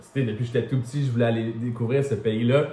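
Speaking in a Quebec accent, a man has a medium pitch and fairly even intonation. Audible room echo and noticeable background noise fill the recording. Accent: Québécois French. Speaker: travel content creator. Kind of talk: interview.

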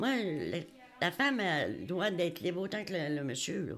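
Her medium-pitched voice carries vocal fry and lively intonation as this woman speaks at a fairly slow pace. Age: old. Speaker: retired hospital switchboard operator, senior resident. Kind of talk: interview.

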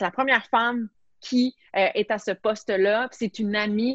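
A woman speaks at a fairly high pitch and a fairly slow pace, her intonation fairly even. The sound is dry and close, with no echo. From Quebec, Montreal. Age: 30s. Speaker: sports journalist and TV host. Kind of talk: casual interview.

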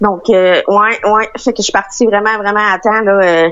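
At a moderate pace, a woman with a plain, everyday voice keeps her intonation fairly even. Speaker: traveller stranded abroad. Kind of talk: interview.

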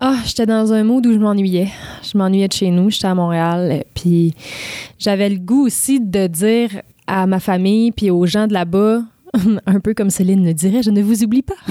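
A woman's dark, mellow voice at medium pitch, moderate in pace, very even in loudness, with ordinary pitch variation. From Quebec, Charlevoix (Baie-Saint-Paul). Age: 20s. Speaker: singer-songwriter. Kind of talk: interview. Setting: studio.

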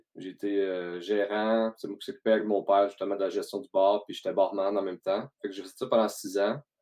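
In a Quebec accent, a man talks with a fairly low pitch. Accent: Québécois French. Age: 30s. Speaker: podcast host, entrepreneur. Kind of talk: casual interview chat.

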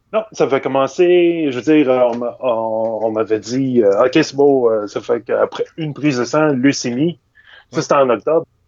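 A man at medium pitch, fairly slow in pace, with ordinary pitch variation. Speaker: illustrator. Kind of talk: casual interview. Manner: hesitant, many fillers.

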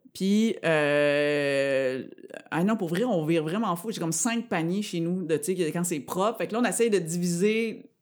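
Here a woman with an unremarkable speaking voice talks at a fairly low pitch. Her pace is fairly slow and her intonation lively. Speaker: comedian. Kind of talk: casual chat.

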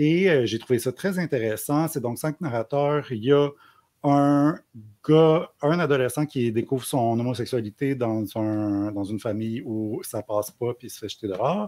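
In a very clean recording with a silent background, a man speaks at a fairly slow pace and medium pitch, his tone dark and mellow, with ordinary pitch variation and big swings in loudness. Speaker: book YouTuber. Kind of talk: casual chat. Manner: halting.

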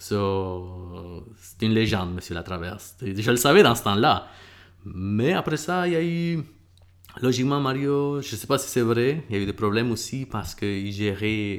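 In an unremarkable speaking voice, a man talks at a fairly slow pace with medium pitch and lively intonation. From El Salvador, moved to Quebec at 11. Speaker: MMA fighter and bus driver. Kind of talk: casual interview.

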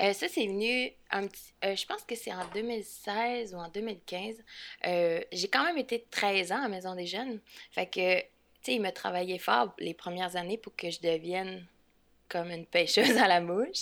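An unremarkable speaking voice moves at a fairly slow pace with ordinary pitch variation on a very clean recording with a silent background. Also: woman, medium pitch for a woman. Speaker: fly fishing instructor. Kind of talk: casual interview.

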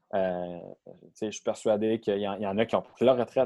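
A man talks with a dark, mellow tone at a fairly low pitch. His pitch varies in an ordinary way. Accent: Quebec. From Quebec, south shore of Montreal. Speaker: professional football player. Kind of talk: interview.

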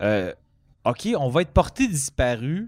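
A man's fairly high voice on a very clean recording with a silent background. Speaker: comedian. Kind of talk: casual chat.

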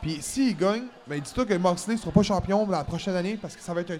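A high-pitched man at a fairly quick pace, with ordinary pitch variation. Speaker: wrestling podcast host. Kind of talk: casual chat. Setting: recording at a convention.

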